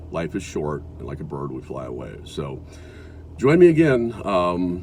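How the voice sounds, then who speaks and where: Amid noticeable background noise and audible room echo, a man with an American accent and a very deep, low pitch speaks at a fairly slow pace with lively intonation and big swings in loudness. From US Midwest (South Dakota). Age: 60s. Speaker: video blogger. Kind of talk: casual monologue. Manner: halting.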